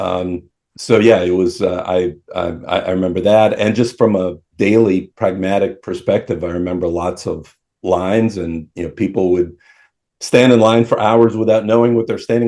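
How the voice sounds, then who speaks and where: In an American accent, a man speaks with a dark, mellow tone and fairly even intonation. He keeps a moderate pace against a quiet background. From Moscow, Russia until 10, then Minnesota. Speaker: attorney. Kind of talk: interview. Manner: hesitant, many fillers.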